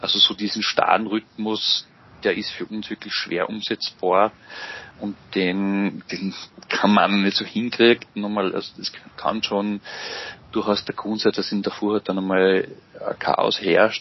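With noticeable background noise, a man speaks at a fairly slow pace and fairly low pitch in monotone, flat intonation, leaving long, frequent pauses. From Austria, Mühlviertel (Upper Austria). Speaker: psychology lecturer and father. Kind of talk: interview. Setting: video call. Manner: halting, many fillers.

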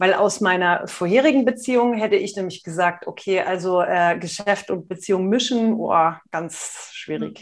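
Against a quiet background, a woman uses a normal speaking voice at medium pitch and moderate pace, with ordinary pitch variation. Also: big swings in loudness. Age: 40s. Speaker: nonverbal communication expert and entrepreneur. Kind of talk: casual interview.

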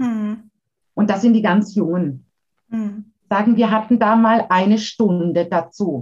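Somewhat breathy, a woman speaks at a very slow pace. Her pitch variation is ordinary. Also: medium pitch for a woman. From Baden, Karlsruhe area. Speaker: educator and giftedness counselor. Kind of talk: interview.

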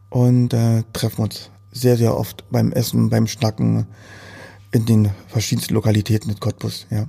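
Somewhat breathy and medium in pitch, a man's voice carries a dark, mellow tone at a fairly slow pace. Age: 40s. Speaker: entrepreneur. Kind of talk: interview. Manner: halting.

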